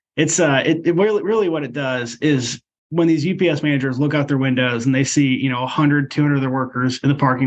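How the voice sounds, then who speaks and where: In an unremarkable speaking voice, a man with an American accent talks fairly quickly at a fairly high pitch with fairly even intonation. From Iowa (Ankeny). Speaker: union leader and delivery driver. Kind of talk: interview.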